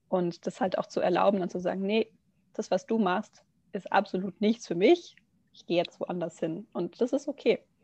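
A woman with a somewhat breathy, dark, mellow tone speaks at a medium pitch and moderate pace with ordinary pitch variation, in a dry, close sound with no echo. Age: 20s. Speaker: yoga teacher and nursery educator. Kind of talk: casual podcast interview.

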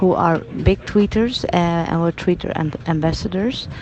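Noticeable background noise sits under a woman's fairly low voice. She speaks fairly slowly with a Dutch accent. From Netherlands. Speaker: nursing journal editor. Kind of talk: video blog. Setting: at a medical conference. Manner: hesitant, many fillers.

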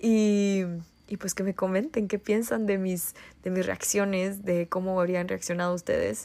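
A woman speaks at a fairly slow pace and medium pitch. Her tone is dark and mellow, with fairly even intonation. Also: very clean recording, silent background. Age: 20s. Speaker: podcast host. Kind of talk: solo monologue podcast.

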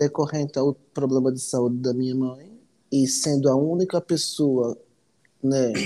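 At a fairly slow pace, a man talks with a dark, mellow tone and a fairly high pitch. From Natal, Rio Grande do Norte, Brazil. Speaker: immigrant guest. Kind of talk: casual interview chat.

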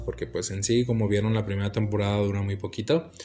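Over music in the background, a man talks at a fairly quick pace with fairly even intonation. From United States. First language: English (speaking Spanish). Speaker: podcast host. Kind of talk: casual solo monologue. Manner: halting, many fillers.

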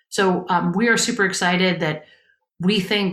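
A woman speaks in a plain, everyday voice at medium pitch and a moderate pace, her intonation fairly even. The recording is very clean with a silent background. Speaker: advocacy group state director. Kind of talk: radio interview.

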